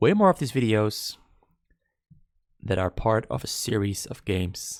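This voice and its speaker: On a very clean recording with a silent background, a man with a non-native accent speaks at a moderate pace. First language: not English. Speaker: esports caster. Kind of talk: live commentary. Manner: halting; animated.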